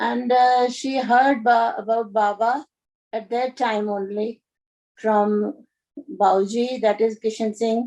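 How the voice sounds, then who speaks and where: Speaking very slowly with long, frequent pauses, a woman in an Indian accent uses a fairly high pitch, a dark, mellow tone and fairly even intonation. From India, Dehradun. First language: Hindi. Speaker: spiritual storyteller. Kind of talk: personal storytelling. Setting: video call. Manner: halting.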